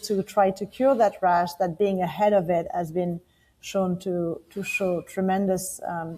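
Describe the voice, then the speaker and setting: In a French accent, a woman speaks fairly slowly in a flat monotone with a dark, mellow tone. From France. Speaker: company founder. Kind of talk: interview. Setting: podcast. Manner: some hesitation fillers.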